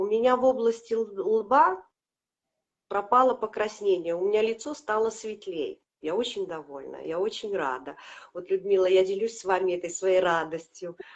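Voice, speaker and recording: Her intonation lively, a woman talks at a moderate pace. Her pitch is fairly high. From Latvia. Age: 50s. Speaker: product customer sharing results. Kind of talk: testimony. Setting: live video stream.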